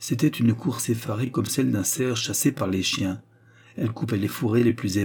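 Pitch moves with ordinary variation. The delivery is reading aloud in a natural voice.

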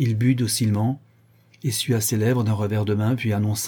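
A natural reading voice comes through with fairly even intonation.

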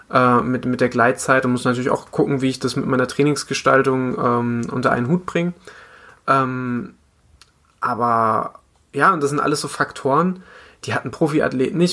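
The voice has a bright, sharp tone. It moves at a moderate pace with ordinary pitch variation. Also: man. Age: 20s. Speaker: amateur runner and podcaster. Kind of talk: casual chat.

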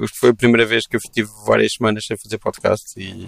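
A man's fairly low voice at a fairly quick pace, dry and close with no echo. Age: 30s. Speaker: podcast host. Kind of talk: casual chat. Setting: video call.

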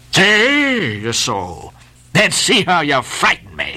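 A put-on character voice at middle pitch and a very slow pace. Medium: read story. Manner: curt, commanding.

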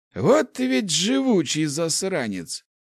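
A man puts on a character voice, fairly high in pitch with vocal fry and very wide pitch swings. He speaks slowly in a very clean recording with a silent background.

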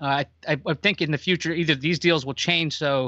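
An unremarkable speaking voice at a fairly quick pace with ordinary pitch variation. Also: man. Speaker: tech journalist guest. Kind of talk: casual podcast chat.

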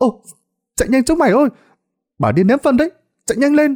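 A man's put-on character voice, extremely high in pitch with big pitch swings and a slightly mellow tone, at a fairly quick pace, in a dry, close sound with no echo

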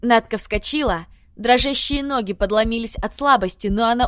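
The clip is plain reading aloud, and its pitch varies in an ordinary way.

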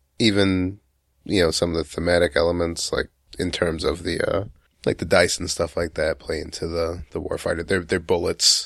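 The background is silent, and the recording is very clean. A man talks at a moderate speed. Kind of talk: casual chat.

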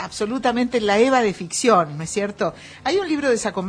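Straightforward reading out loud.

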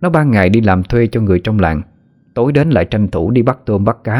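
Lively intonation runs through this clip. The speaker is reading aloud in a natural voice.

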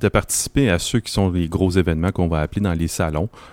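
A man speaks fairly quickly with a very deep, low pitch. The sound is dry and close with no echo, on a very clean recording with a silent background. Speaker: volunteer association regional director. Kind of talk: casual chat. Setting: makeshift studio at an event.

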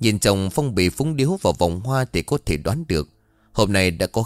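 An unforced reading voice carries the words. Its intonation is lively.

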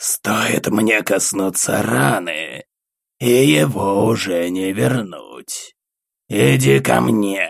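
Using a put-on character voice that is raspy and hissing, a man speaks at fairly low pitch and a very slow pace. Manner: hissing, threatening.

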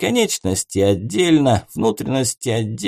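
Over a quiet background, the clip carries an unforced reading voice.

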